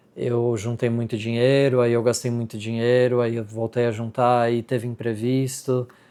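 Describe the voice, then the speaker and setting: A man speaks with a Brazilian accent. His pace is moderate and his pitch is medium. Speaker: vlogger. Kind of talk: casual vlog talk to camera. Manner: hesitant, many fillers.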